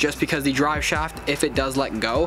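Speaking at a moderate pace, a man is heard over background music. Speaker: vlogger. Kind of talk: casual vlog chat. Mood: matter-of-fact, a bit regretful. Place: street.

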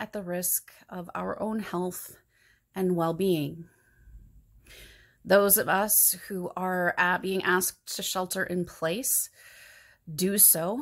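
A woman speaks at a very slow pace with long, frequent pauses. The background is quiet. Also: fairly even intonation. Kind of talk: sermon. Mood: earnest, calm, reflective. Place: home room. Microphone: phone near.

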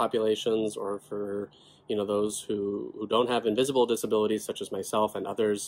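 Here a man talks with an American accent at a moderate pace. His voice sits at a fairly low pitch, and his intonation is monotone and flat. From California. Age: 20s. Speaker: rare disease advocate, legislative aide. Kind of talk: personal testimony to camera. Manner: casual, conversational. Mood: earnest, calm. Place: home room. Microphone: phone near.

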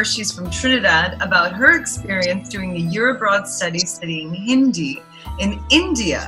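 A woman talks at a middling speed. Clear music runs behind her. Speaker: interviewer. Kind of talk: interview questions. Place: home room. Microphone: webcam.

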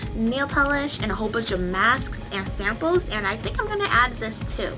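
A woman's voice over clear music in the background. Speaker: beauty vlogger. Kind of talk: casual haul vlog chat.

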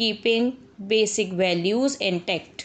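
At a very slow pace, a woman speaks in a fairly high pitch. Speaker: shorthand dictation reader. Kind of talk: shorthand dictation read at 90 words per minute. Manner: slow, measured.

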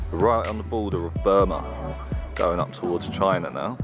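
Clear music plays in the background. Over it, a man speaks at a fairly slow pace. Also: dry sound with no echo. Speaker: travel vlogger. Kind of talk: casual vlog talk to camera. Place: open country. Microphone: phone near.

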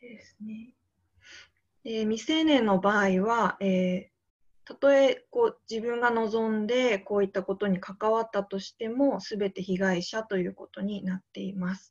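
Somewhat breathy and fairly high in pitch, a woman speaks at a fairly slow pace with ordinary pitch variation and big swings in loudness, over a quiet background. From Niigata, Japan; Japan. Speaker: teacher, youth volunteer. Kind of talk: slide presentation. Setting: video call. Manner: formal, frequent filler えー. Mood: calm, earnest. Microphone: video call.

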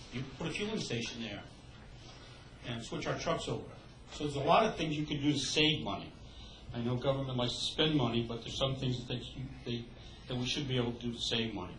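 Amid audible room echo and light background noise, a man talks at a very fast pace broken by long, frequent pauses. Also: ordinary pitch variation. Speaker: resident, former council member. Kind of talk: public comment. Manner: halting. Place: meeting room. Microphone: podium.

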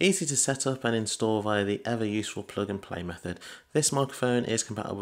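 The man's delivery runs at a fairly quick pace, with ordinary pitch variation. Behind him, the background stays quiet. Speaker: tech reviewer. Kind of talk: product review. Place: home room. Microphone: studio mic.

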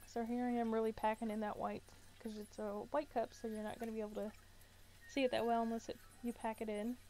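A woman's fairly high, monotone voice with flat intonation, at a very fast pace. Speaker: crafter. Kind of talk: tutorial voice-over. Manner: casual, hesitant with fillers.

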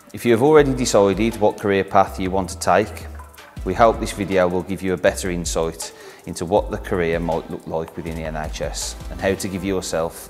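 A man's very deep, low voice at a moderate pace, with big swings in loudness and faint music in the background. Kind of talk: corporate interview introduction. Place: workshop.

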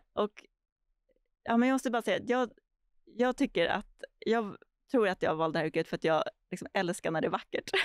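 A woman speaks at a fairly high pitch with lively intonation and long, frequent pauses. The background is quiet, and the sound is dry with no echo. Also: fairly quick pace. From Stockholm, Sweden (early years in Argentina). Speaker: urban planner and landscape architect; guest. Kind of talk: podcast interview. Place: studio. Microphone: studio mic.

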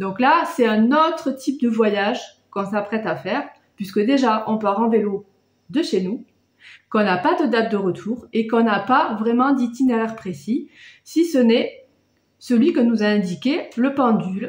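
A somewhat breathy woman speaks fairly slowly, with audible room echo but a quiet background. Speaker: travel vlogger. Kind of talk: casual vlog chat. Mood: calm, explanatory. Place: home room. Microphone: phone near.

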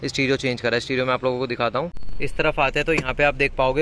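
A man talks at a very fast pace with monotone, flat intonation. There is light background noise, and the sound is dry with no echo. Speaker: presenter. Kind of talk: product demo commentary. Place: car. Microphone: phone near.

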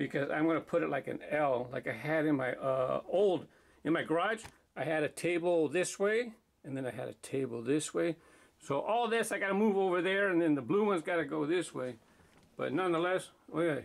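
A man with a high pitch at a fairly quick pace. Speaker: toy track channel host. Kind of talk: casual vlog chat. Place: office. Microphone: phone near.

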